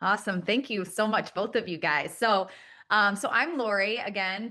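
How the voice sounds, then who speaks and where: A woman's unremarkable speaking voice at medium pitch, with fairly even intonation and a moderate pace. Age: 40s. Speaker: panelist sharing personal health story. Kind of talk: panel presentation.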